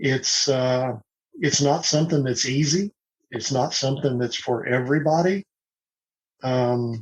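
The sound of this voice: A man speaks at a fairly slow pace with a slightly husky edge, medium pitch and ordinary pitch variation.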